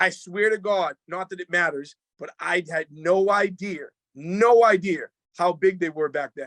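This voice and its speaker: A man with a high pitch speaks in a Boston accent. The sound is dry and close with no echo, and his loudness swings widely. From Boston area, Massachusetts. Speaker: rapper and producer. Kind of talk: casual interview chat. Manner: animated, fast.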